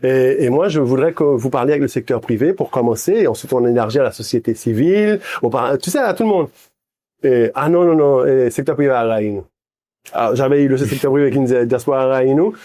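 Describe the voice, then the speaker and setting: A man speaks fairly quickly at a medium pitch, with ordinary pitch variation and very even loudness. His tone is dark and mellow, and the background is quiet. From Haiti. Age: 60s. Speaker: businessman. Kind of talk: interview. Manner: halting.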